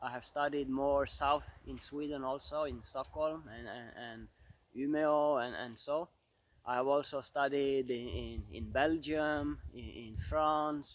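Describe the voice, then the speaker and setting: Over a quiet background, a man with an Arabic accent and a fairly high pitch speaks at a fairly slow pace with fairly even intonation. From Central African Republic. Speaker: photographer and outdoor vlogger. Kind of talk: channel introduction monologue. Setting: outdoors in snow shelter. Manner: halting, many repetitions and fillers.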